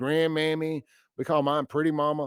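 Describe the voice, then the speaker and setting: A man with a Southern US accent talks at a fairly quick pace and fairly high pitch. The sound is dry and close with no echo, on a very clean recording with a silent background. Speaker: radio host. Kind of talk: talk radio monologue. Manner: casual, halting.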